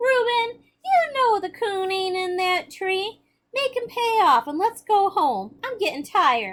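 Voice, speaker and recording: A woman does a whiny, put-on character voice at an extremely high pitch. She talks fairly slowly. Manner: weary, complaining.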